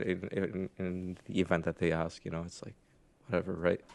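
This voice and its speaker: Against a quiet background, a man with a very deep, low pitch talks at a fairly quick pace with an American accent. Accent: slight accent, often taken for American. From Jordan. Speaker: streamer. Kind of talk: casual chat.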